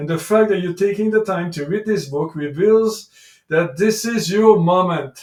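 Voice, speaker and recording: This man has a French accent. He speaks at a moderate pace. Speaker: life coach and author. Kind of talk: reading aloud own book with commentary.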